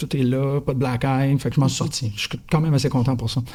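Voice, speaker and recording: A man with a Quebec accent talks at a fairly quick pace with a fairly high pitch. His tone is dark, mellow, and somewhat breathy. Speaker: podcast teacher. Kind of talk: panel discussion. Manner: fast; animated.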